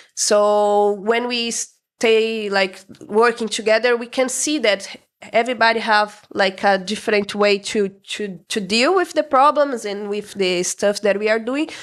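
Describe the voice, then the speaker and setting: A woman with a Brazilian accent speaks at a fairly slow pace, her pitch fairly high with ordinary pitch variation. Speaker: restaurant co-owner. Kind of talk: interview. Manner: halting.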